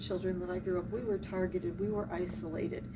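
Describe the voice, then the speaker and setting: A woman with an American accent speaks at a fairly quick pace and a medium pitch, her intonation lively and the room echo audible. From Philadelphia, US Northeast. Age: old. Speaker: civil rights activist. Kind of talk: interview.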